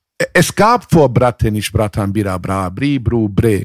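The sound is close and dry, without any echo. It is a man talking. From southwestern Germany, Mannheim. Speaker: rapper. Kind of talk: casual chat.

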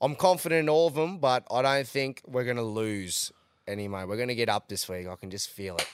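At a fairly quick pace, a man with a Queensland accent speaks in an animated tone with lively intonation and medium pitch, on a very clean recording with a silent background and a dry, close sound with no echo. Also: big swings in loudness. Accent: Australian, Queensland. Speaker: podcast host, rugby league and punting. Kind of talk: casual banter, sports recap. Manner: excitable, animated.

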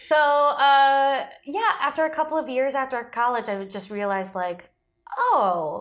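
A woman with an American accent speaks at a high pitch, her voice swinging very widely in pitch. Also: fairly slow pace. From Michigan and Florida. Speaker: comedian. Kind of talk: casual chat.

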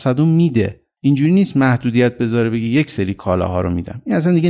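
A man's dark, mellow voice at a medium pitch. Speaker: economist. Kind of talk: interview.

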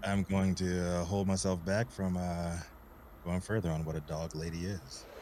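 Speaking at a moderate pace, a man with a very deep, low pitch keeps his intonation flat and monotone. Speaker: cannabis news show co-host. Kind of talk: live news talk show.

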